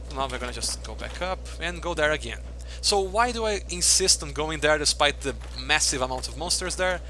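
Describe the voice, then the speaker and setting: Speech at a fairly quick pace carries audible room echo. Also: man. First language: Portuguese. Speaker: video game streamer. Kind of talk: live gameplay commentary. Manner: fast.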